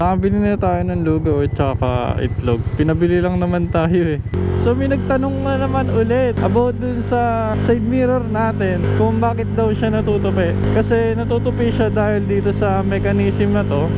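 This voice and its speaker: A man talks at a fairly low pitch and a moderate pace, with hardly any pauses, very even loudness and ordinary pitch variation. Noticeable background noise and audible room echo fill the recording. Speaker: motorcycle vlogger. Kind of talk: casual vlog talk.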